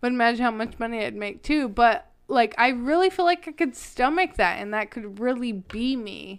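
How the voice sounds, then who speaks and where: A woman's high-pitched voice with lively intonation and a moderate pace, on a very clean recording with a silent background. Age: 30s. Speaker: podcast guest, host's partner. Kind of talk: casual chat. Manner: talkative.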